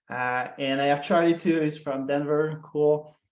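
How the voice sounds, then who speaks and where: A man's fairly high-pitched voice with a Quebec accent, monotone and flat, at a moderate pace. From Quebec, Montreal. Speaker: customer success marketer. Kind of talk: webinar presentation. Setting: online webinar. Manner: frequent fillers, hesitant.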